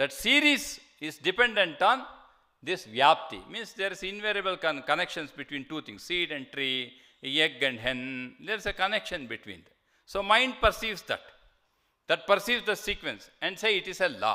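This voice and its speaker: In a raised, projected voice with a bright, sharp tone, the speaker keeps a moderate pace while the pitch swings very widely. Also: man, high pitch for a man. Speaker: monk and lecturer on scripture. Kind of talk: lecture. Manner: halting with fillers.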